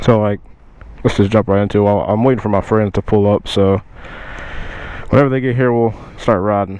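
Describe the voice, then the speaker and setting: Speaking at a fairly quick pace in a fairly low voice, a man leaves long, frequent pauses. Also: fairly even intonation. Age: 20s. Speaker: motovlogger. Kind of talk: casual talk to camera. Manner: monotone.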